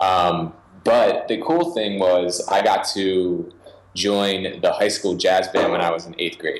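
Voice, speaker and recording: A man speaks very slowly while noticeable noise carries on behind him. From Philadelphia suburbs, Pennsylvania. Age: 20s. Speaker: music producer and finger drummer. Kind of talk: interview.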